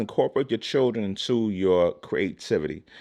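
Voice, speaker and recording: Lively intonation from a man with a fairly low pitch, against a quiet background. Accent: New York. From Brooklyn, New York City. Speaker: YouTube creator. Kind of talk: casual vlog monologue. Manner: halting, repetitive.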